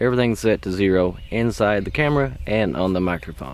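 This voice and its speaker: In a very clean recording with a silent background, a man speaks with lively intonation at a fairly low pitch. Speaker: YouTuber reviewing gear. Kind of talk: mic test review. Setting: talking to camera at varying distances. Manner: casual, rambling.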